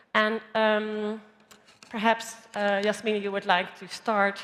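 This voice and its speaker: A woman's medium-pitched voice in a Dutch accent. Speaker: panel moderator. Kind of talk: panel discussion.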